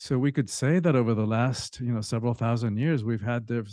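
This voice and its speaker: A man speaks in a Spanish accent at a moderate pace, his voice medium in pitch with a dark, mellow tone. His pitch varies in an ordinary way, and the background is quiet. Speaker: author and spiritual teacher. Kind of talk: podcast interview.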